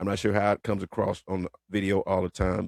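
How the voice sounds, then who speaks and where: The man's tone is animated and his pitch fairly low. He talks at a fairly quick pace. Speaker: retired police officer and commentator. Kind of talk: casual commentary monologue. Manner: fast.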